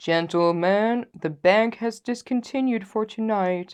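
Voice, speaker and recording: A put-on character voice from a woman, fairly high in pitch with ordinary variation, at a fairly slow pace over a quiet background. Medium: read story.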